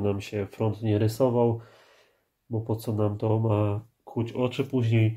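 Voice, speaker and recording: Speaking fairly slowly, a man with a medium pitch has a dark, mellow, somewhat breathy tone and monotone, flat intonation. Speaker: car DIY youtuber. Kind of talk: tutorial. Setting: home workspace. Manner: casual, with filler sounds.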